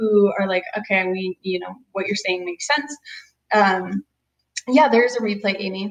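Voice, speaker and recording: A woman speaks at a moderate pace in a normal speaking voice, with a medium pitch and ordinary pitch variation. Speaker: chiropractor. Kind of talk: webinar presentation. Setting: video webinar.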